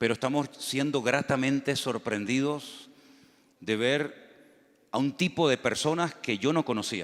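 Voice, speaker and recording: A man with an unremarkable speaking voice talks at a fairly slow pace and a medium pitch, his loudness very even and his pitch variation ordinary, on a very clean recording with a silent background. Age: 60s. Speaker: pastor. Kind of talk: sermon. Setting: church.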